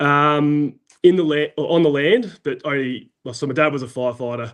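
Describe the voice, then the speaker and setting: With an Australian accent, a man talks in a fairly high pitch with ordinary pitch variation. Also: moderate pace. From South Australia. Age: 30s. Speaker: farm overseer, former firefighter. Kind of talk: podcast interview. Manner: hesitant, many fillers.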